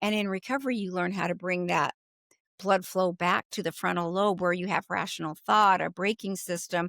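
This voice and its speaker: This is a plain, everyday voice. It moves at a moderate speed. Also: woman, medium pitch for a woman, ordinary pitch variation. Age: 60s. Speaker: food addiction recovery coach. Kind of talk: interview, personal story.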